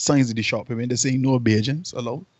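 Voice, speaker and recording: With a medium pitch, a man rattles off his words at a very fast pace. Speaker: podcast co-host. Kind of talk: casual chat. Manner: animated storytelling.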